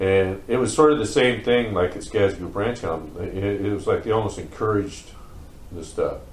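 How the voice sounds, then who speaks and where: In an American accent, a man talks at a fairly low pitch, with audible room echo and noticeable background noise. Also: ordinary pitch variation, moderate pace. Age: 50s. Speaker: former group home resident. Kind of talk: interview testimony. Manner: casual, halting with fillers.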